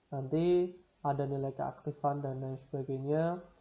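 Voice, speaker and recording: Against a quiet background, a man with a fairly high pitch and a dark, mellow tone speaks at a fairly slow pace in a flat monotone. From Semarang, Central Java, Indonesia. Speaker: university lecturer. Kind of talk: lecture.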